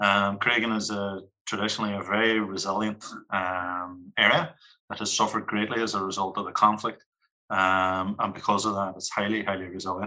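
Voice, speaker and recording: In a Northern Irish accent, a man delivers a bright, sharp tone at a fairly low pitch with monotone, flat intonation. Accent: Derry Northern Irish. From Northern Ireland, Derry (Creggan). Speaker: community organisation manager. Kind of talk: podcast discussion.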